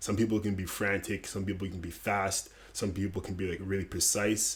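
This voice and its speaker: On a very clean recording with a silent background, a man speaks fairly quickly at a fairly low pitch, somewhat breathy, with monotone, flat intonation. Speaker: lifestyle YouTuber, former salesman. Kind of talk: casual vlog tutorial.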